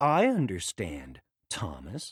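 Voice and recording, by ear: In a put-on character voice, a man speaks slowly at a low pitch with very wide pitch swings. The tone is fairly bright with a husky, rough edge, on a very clean recording with a silent background.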